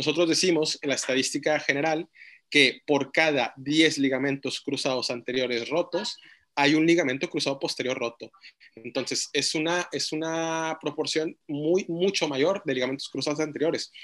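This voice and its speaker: An ordinary speaking voice from a man, fairly high in pitch, at a moderate pace with fairly even intonation. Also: quiet background. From Mexico, Monterrey. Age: 20s. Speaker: orthopedic surgeon. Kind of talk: interview.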